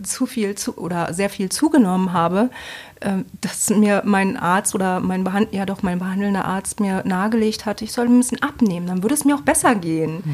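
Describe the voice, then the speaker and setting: An unremarkable speaking voice from a woman, medium-pitched, with ordinary pitch variation and a fairly quick pace. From Bremen, northern Germany. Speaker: coordinator in mental health and addiction support. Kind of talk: interview.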